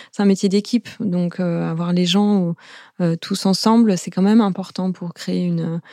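Recorded very cleanly with a silent background and a dry, close sound with no echo, a woman speaks at medium pitch with a dark, mellow tone and fairly even intonation. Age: 40s. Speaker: founder of an event freelance platform. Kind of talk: casual interview. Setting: studio.

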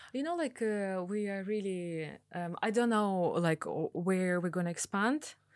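Speaking at a fairly slow pace, a woman with a Russian accent uses a medium pitch. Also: ordinary pitch variation, very clean recording, silent background. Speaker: piercing studio owner. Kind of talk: interview.

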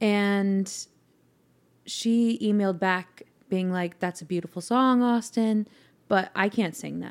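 A woman with a Californian accent speaks at a very slow pace, with long, frequent pauses. Her medium-pitched voice has fairly even intonation on a very clean recording with a silent background. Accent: general American (Californian). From Northern California (Mill Valley). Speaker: singer-songwriter. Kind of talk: casual chat. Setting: at host's house.

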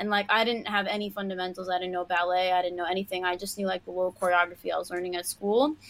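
A woman talks at a very fast pace in a New York accent. Her medium-pitched voice keeps a fairly even intonation. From Queens, New York City. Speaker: professional dancer and choreographer. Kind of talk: casual chat. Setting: live video stream.

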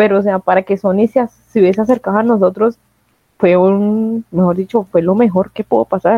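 A woman with an unremarkable speaking voice talks at a fairly quick pace, medium in pitch and with fairly even intonation. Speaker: podcast host. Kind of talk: casual chat.

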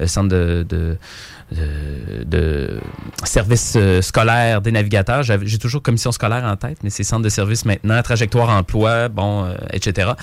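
A man speaks in a Quebec accent at a fairly low pitch. His pace is moderate. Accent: Québécois French. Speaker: youth entertainer. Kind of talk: interview.

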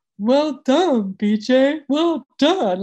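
The voice sounds female and is pitched high. It is a put-on character voice. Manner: weird, exaggerated put-on voice.

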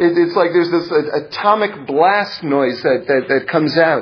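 The man's intonation is lively. There is noticeable background noise behind him. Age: 40s. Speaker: Torah teacher. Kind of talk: lecture. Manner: halting.

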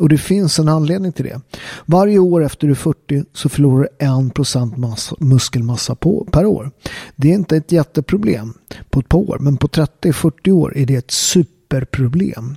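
A man's fairly high, somewhat breathy voice with a dark, mellow tone, moderate pace, ordinary pitch variation, and a dry, close sound with no echo. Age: 40s. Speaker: fitness and health podcaster. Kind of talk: monologue. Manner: casual, with frequent fillers.

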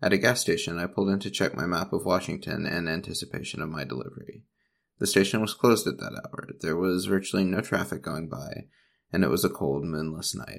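The speech moves at a fairly quick pace. Vocal fry runs through it. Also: man, very deep, low pitch for a man, ordinary pitch variation. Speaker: ghost story narrator. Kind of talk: ghost story telling, reading a story aloud.

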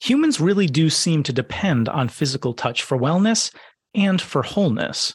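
The voice is somewhat breathy, moving at a moderate pace with very wide swings in pitch. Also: man. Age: 30s. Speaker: podcast host. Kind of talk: scripted narration; interview conversation.

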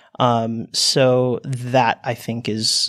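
A man with an American accent speaks at a medium pitch. The recording is very clean, with a silent background. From United States. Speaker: exchange student. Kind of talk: panel discussion. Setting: studio.

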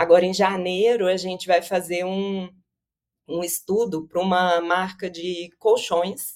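A woman with a Minas Gerais accent speaks at a fairly slow pace, her intonation monotone and flat. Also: medium pitch for a woman. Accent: Minas Gerais (mineiro) Brazilian. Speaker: consumer behavior researcher and company founder. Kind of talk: interview.

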